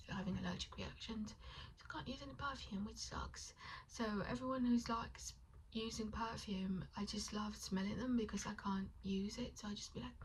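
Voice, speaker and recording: Against noticeable background noise and an audible room echo, a woman talks at a moderate pace. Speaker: vlogger. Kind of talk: casual vlog chat while doing makeup. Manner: quiet and calm, trying to project and articulate.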